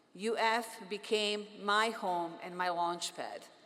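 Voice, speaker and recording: A woman with a bright, sharp tone talks at medium pitch with ordinary pitch variation, with audible room echo. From Bosnia. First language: Bosnian. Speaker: physician and professor, commencement speaker. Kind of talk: commencement speech. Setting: stage with audience.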